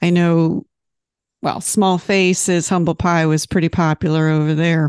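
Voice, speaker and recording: A woman's very slow, monotone voice with flat intonation and fairly low pitch, against a quiet background. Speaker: magazine interviewer. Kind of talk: casual interview chat.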